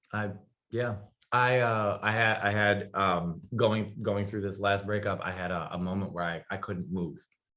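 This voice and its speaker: A man speaks loudly at a moderate pace. His fairly low voice has a bright, sharp tone. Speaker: talk show guest. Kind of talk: casual interview chat. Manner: animated.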